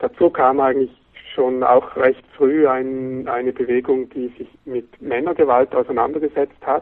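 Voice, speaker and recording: A man's plain, everyday voice with fairly even intonation. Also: medium pitch for a man, fairly slow pace. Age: 40s. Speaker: magazine editor-in-chief. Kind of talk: interview.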